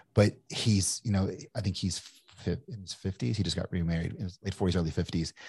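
Somewhat breathy, a man talks at a fairly quick pace with ordinary pitch variation in a dry, close sound with no echo. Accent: American. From Kentucky, US. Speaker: entrepreneur and investor. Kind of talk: casual interview chat. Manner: casual, conversational.

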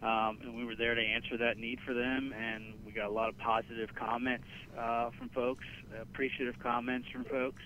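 With an American accent, a man speaks in a medium-pitched voice with monotone, flat intonation. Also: moderate pace. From Pennsylvania, Gettysburg area. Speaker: marketing director. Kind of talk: interview.

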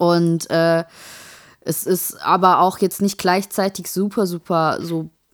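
In a very clean recording with a silent background, the speech comes at a very slow pace in a monotone, flat intonation. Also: woman, fairly low pitch for a woman. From Saarland. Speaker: podcast co-host. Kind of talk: casual chat.

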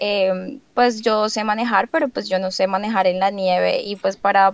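A woman with a plain, everyday voice speaks at a fairly high pitch. Her intonation stays fairly even. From Colombia, Bogotá. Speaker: au pair nanny. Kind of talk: interview.

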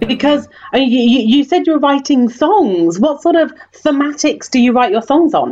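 Speaking in a British accent, a woman keeps her loudness very even while her intonation stays lively. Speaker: podcast host, tour guide.

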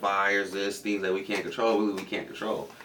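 A man with a fairly low pitch talks at a very fast pace, with noticeable background noise and audible room echo. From US West Coast, Compton, California. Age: 20s. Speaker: pro MMA fighter and former college wrestler. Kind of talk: casual interview.

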